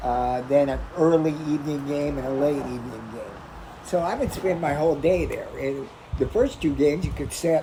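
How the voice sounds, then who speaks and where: Noticeable background noise and audible room echo surround a man speaking at a moderate pace. His pitch is fairly high and his intonation fairly even. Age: 60s. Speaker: sports card shop owner. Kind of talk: interview. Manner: halting.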